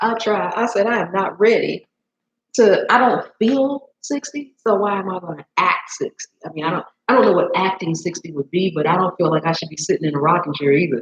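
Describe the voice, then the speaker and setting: Sounding animated, a woman talks fairly quickly at a medium pitch, her voice somewhat breathy and her intonation lively. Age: 60s. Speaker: cooking show host, chef. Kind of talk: live stream chat with viewers during cooking demo.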